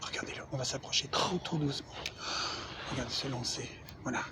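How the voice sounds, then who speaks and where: The speaker keeps a moderate pace. Noticeable background noise is present. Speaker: golf video creator. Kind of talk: comedic golf tutorial. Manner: soft-spoken, nature documentary parody.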